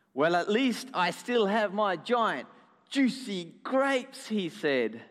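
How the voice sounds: A natural reading voice carries the clip. The words come through as read text.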